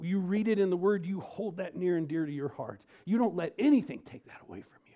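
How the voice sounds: A man's high voice with an American accent, lively intonation and a fairly quick pace.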